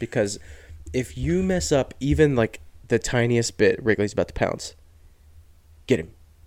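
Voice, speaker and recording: An American-accented man at a medium pitch and moderate pace, with vocal fry, lively intonation, and long, frequent pauses. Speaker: podcast host. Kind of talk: casual chat.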